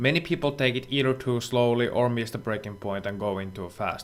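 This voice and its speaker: A man with a non-native accent speaks at medium pitch and a fairly quick pace. His pitch varies in an ordinary way. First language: not English. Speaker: sim racing instructor. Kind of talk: tutorial.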